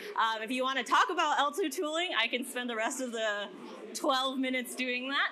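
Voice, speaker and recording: A woman talks in a high pitch at a fairly quick pace. There is noticeable background noise and audible room echo. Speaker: developer advocate giving a workshop. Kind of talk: conference workshop talk. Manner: fast.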